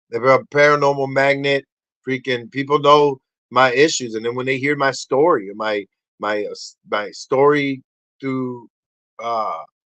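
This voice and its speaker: Speaking with a Spanish accent, a man with a medium pitch uses an animated tone at a fairly slow pace. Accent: Spanish accent, tongue-tied at times. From Puerto Rico. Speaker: podcast host, motivational speaker. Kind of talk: casual podcast monologue. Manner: animated, rambling with many false starts.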